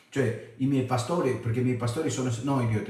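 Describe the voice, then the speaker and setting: Audible room echo surrounds the voice. A man talks at a fairly quick pace. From abroad, not Italy. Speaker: preacher. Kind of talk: Bible study; sermon-style teaching. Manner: animated. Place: home room. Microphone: webcam.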